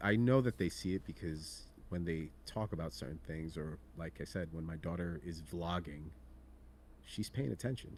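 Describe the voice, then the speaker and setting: With vocal fry, this man's voice sits very deep and low. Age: 40s. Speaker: horror collectibles content creator. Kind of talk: casual interview chat.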